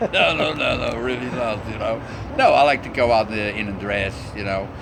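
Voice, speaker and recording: Noticeable background noise and audible room echo surround a man's voice. He speaks at a moderate pace in a medium pitch with fairly even intonation. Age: 60s. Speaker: cross-dresser. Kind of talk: interview. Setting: restaurant.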